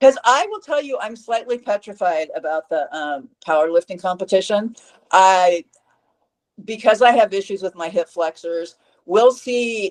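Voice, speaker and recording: In a dry, close sound with no echo, a woman speaks in a plain, everyday voice at medium pitch and a moderate pace, with lively intonation and big swings in loudness. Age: 60s. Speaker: fitness coach. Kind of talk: interview.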